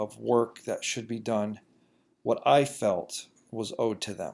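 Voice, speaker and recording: Heard in a very clean recording with a silent background, a man speaks at a medium pitch with fairly even intonation. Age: 30s. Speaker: podcast host and chimney service business owner. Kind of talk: solo podcast monologue. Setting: recording at home computer. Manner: halting, with frequent fillers and repetitions.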